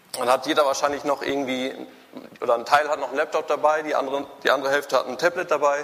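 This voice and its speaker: With noticeable background noise behind him, a man speaks very fast in a fairly high voice with monotone, flat intonation. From Germany, Münster (Westphalia). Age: 20s. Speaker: computer scientist and startup founder. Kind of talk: conference talk. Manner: halting, many fillers and restarts.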